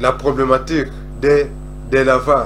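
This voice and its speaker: Very slow speech from a man, with noticeable noise in the background. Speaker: self-taught cosmology essayist. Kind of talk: lecture-style talk on cosmology and scripture.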